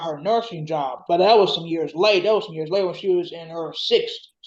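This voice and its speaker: The woman talks fairly quickly in a mid-range pitch that rises and falls in a normal way. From Detroit, Michigan. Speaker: oral history interviewee. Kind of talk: interview answer.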